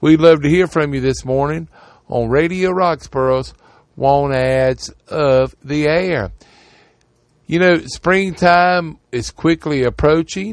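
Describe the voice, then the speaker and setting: A man speaks very slowly with an American accent. His fairly high voice shows ordinary pitch variation. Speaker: radio host. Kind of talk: radio ad patter, reading classifieds aloud. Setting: studio. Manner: brisk, repetitive, rhythmic, repeating phone numbers twice.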